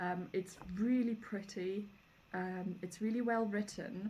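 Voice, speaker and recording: The woman's voice is somewhat breathy, and her intonation stays fairly even. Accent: German. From Germany. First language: German. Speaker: homesteading vlogger. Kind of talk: casual book review. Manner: casual, many fillers.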